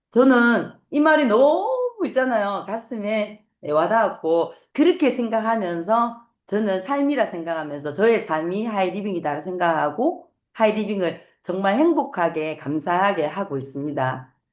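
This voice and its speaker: A woman with a Gyeongsang accent speaks at medium pitch and a fairly slow pace. Her pitch swings very widely. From Gyeongsang region, Korea. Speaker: network marketing business owner. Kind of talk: motivational talk. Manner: halting with fillers.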